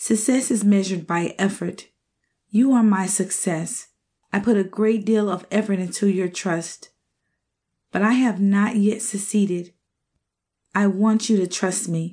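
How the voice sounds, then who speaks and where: Against a quiet background, a woman with a dark, mellow tone and medium pitch speaks somewhat breathily at a fairly slow pace, with fairly even intonation and long, frequent pauses. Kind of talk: poetry reading, audiobook narration of spoken word verse. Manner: emotive, wistful, heartfelt delivery with rhymed lines.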